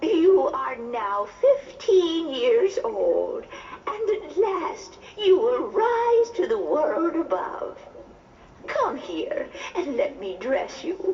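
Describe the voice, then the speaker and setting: In a put-on character voice with an extremely high pitch, someone speaks at a very slow pace with slight echo. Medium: read story. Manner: gentle, measured.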